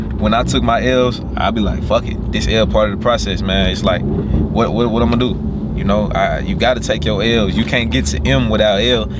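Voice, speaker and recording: A man with a very deep, low pitch, animated, at a moderate pace with hardly any pauses and very wide pitch swings, dry with no echo against loud background noise. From US South, Arkansas. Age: 20s. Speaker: YouTuber; vlogger. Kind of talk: casual vlog. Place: car. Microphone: phone near.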